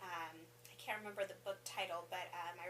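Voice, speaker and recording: Audible room echo and noticeable background noise fill the recording. A woman speaks at a medium pitch. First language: Spanish. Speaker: assistant principal. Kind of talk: interview. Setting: school office.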